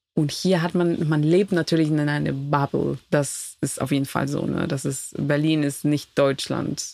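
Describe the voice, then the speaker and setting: Spoken at a fairly slow pace with hardly any pauses, the voice has a dark, mellow tone and fairly even intonation. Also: woman, very deep, low pitch for a woman. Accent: Spanish. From Ecuador (Quito). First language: Spanish (speaking German). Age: 30s. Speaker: immigrant guest. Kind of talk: casual interview. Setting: camper van.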